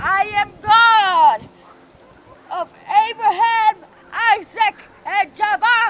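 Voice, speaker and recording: Put on as a character voice, this extremely high-pitched delivery moves at a very slow pace. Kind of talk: youth retreat comic skit. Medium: stage play. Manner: commanding, exasperated.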